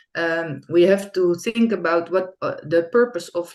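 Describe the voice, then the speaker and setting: Noticeable background noise sits behind a woman's voice. Her pitch is fairly low, with ordinary variation. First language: not English. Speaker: curriculum developer. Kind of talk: presentation. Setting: online conference. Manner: halting.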